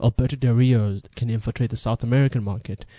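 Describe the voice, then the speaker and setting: He is a man talking at a fairly quick pace with fairly even intonation. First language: not English. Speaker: wrestling podcast host. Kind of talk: casual monologue commentary. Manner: halting, self-correcting.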